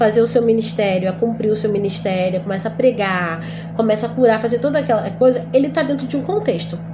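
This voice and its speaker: Over background music and audible room echo, a woman with a medium pitch talks very fast with ordinary pitch variation. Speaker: Bible teacher. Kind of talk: lecture.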